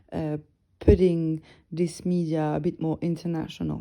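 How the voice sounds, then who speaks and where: A woman speaks at a moderate pace with a dark, mellow tone. The recording is very clean, with a silent background. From northern France. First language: French. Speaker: music blogger and podcast host. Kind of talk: casual solo podcast talk. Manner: relaxed, chilled; halting, many fillers.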